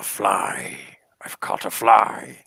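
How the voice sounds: A man puts on a character voice that is raspy, booming and guttural. His tone is menacing.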